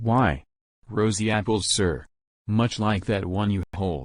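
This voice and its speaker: A man growls through a put-on character voice in a fairly low pitch, at a fairly slow pace. His loudness stays very even against a quiet background. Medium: voice reel. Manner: formal, deferential.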